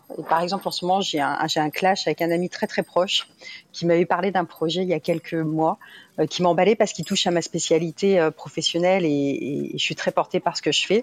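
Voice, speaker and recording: A woman talks at a fairly quick pace in a fairly low pitch with fairly even intonation. The sound is dry and close with no echo, on a very clean recording with a silent background. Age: 40s. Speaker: community member sharing experience. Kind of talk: interview testimony. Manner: halting, many repetitions.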